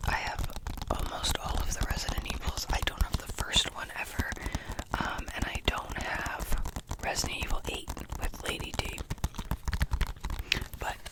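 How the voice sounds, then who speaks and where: Noticeable background noise surrounds a woman whispering at a moderate pace. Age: young. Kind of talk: ASMR ramble. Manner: whispered; chatty.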